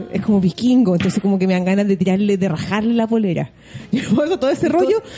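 Against noticeable background noise, a woman speaks at a very fast pace in an animated tone with lively intonation. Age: 40s. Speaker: podcast co-host. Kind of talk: casual chat.

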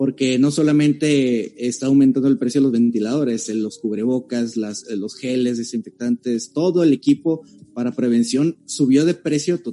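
Speaking at a moderate pace and medium pitch, a man has a dark, mellow tone. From Tijuana, Mexico. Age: 20s. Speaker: accountant. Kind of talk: casual chat.

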